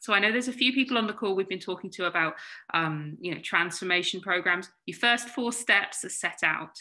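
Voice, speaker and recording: Over a quiet background, a woman talks at a fairly quick pace with a British accent. Her tone is bright and sharp, at a medium pitch with ordinary pitch variation. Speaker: consultant webinar presenter. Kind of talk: webinar presentation. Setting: online video webinar. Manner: fast.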